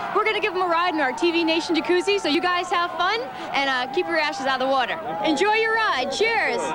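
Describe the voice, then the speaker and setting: With crowd noise behind her, a woman talks at a very fast pace with hardly any pauses, her pitch extremely high and her intonation lively. Her raised, projected voice holds a very even loudness throughout. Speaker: TV correspondent. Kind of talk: TV field report.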